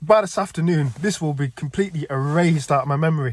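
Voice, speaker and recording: In a very clean recording with a silent background, a man speaks at a fairly high pitch, somewhat breathy, with ordinary pitch variation. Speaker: dream vlogger. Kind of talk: casual monologue, dream recounting. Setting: outdoors. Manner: halting, stuttering.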